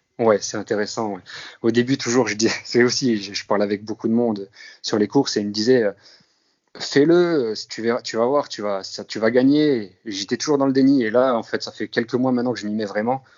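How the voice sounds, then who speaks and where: A man's medium-pitched voice shows ordinary pitch variation. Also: moderate pace. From northeastern France (Grand Est). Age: 30s. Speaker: amateur runner, security guard. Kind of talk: interview. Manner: halting.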